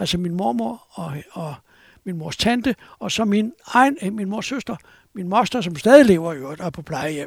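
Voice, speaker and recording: On a very clean recording with a silent background, the speaker moves at a moderate pace with very wide pitch swings. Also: man. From Copenhagen, Denmark. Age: 70s. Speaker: journalist. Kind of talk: interview, storytelling.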